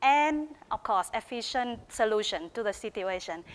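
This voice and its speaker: The speaker is a woman with a Vietnamese accent. Her pace is moderate. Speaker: teacher of English and PhD researcher. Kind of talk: research presentation.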